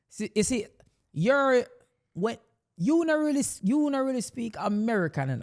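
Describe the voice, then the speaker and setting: A strong Jamaican accent comes through long, frequent pauses in a very clean recording with a silent background. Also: moderate pace. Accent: Jamaican, strong patois. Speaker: podcast co-host. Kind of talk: casual chat.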